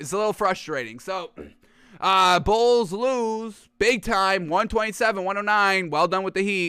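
At a fairly slow pace, a man with a high pitch projects a raised voice, his tone animated and his pitch variation ordinary. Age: 20s. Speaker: sports podcast host. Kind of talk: live-streamed sports talk show. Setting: live stream studio.

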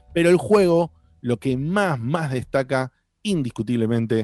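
A man with a Rioplatense accent, fairly slow, with lively intonation, in a dry, close sound without echo. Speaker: podcast host. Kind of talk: casual chat.

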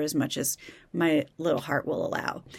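Here is a woman speaking. She has an American accent. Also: very clean recording, silent background. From Kansas. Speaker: podcast host. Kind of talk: casual solo commentary. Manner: conversational, with many fillers.

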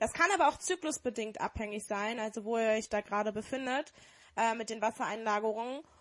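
A woman at a fairly quick pace, fairly high in pitch. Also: ordinary pitch variation. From Dortmund, Germany. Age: 20s. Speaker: podcast co-host. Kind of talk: casual chat.

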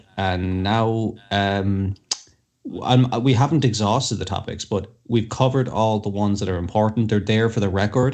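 A man with an Irish accent speaks in a fairly low pitch. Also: fairly even intonation, moderate pace. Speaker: co-host. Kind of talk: casual chat.

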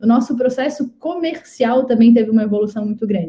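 With an unremarkable speaking voice, a woman talks fairly high in pitch, her pitch moving in a normal way. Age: 30s. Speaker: startup CEO and founder. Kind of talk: live interview chat.

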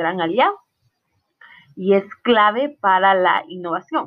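A woman's voice at a medium pitch. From Guatemala, Totonicapán. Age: 20s. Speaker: student. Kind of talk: class presentation.

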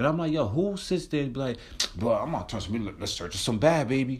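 At a fairly quick pace, a man with an American accent talks in a somewhat breathy, animated tone with a fairly high pitch and lively intonation. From New Jersey. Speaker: podcast host. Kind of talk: casual chat. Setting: outdoors on a porch.

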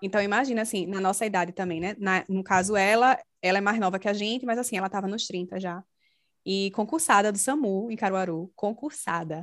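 An ordinary speaking voice from a woman, medium in pitch with ordinary pitch variation, at a fairly quick pace against a quiet background. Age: 30s. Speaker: podcast host. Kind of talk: casual chat.

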